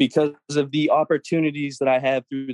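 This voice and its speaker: This man has an unremarkable speaking voice with a fairly high pitch, moving at a moderate pace. The sound is dry and close, with no echo. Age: 20s. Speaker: franchise owner. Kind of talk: interview.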